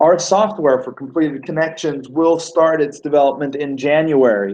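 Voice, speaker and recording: Pitch shifts in an ordinary way. The speed stays moderate. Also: man, fairly high pitch for a man. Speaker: business owner presenting to team. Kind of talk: team webinar presentation. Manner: animated.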